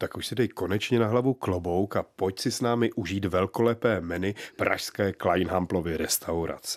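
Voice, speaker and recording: A man speaks at a moderate pace with hardly any pauses, his very deep, low voice carrying a warm tone and ordinary pitch variation. The recording is very clean, with a silent background and a dry, close sound with no echo. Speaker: culinary author and menu collector. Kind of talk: historical scene-setting narration. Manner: vivid, storytelling, imaginative; warm, bantering.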